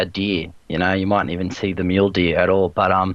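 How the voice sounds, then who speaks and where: A man with an Australian accent and a fairly low voice. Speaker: online gamer, video creator. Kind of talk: casual chat.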